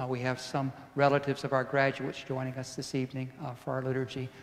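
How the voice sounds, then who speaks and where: The man's delivery moves at a fairly quick pace. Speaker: priest leading mass. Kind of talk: liturgical welcome and greeting. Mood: warm, calm. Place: church.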